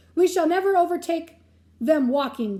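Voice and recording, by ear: In a put-on character voice pitched extremely high, a woman speaks at a moderate pace.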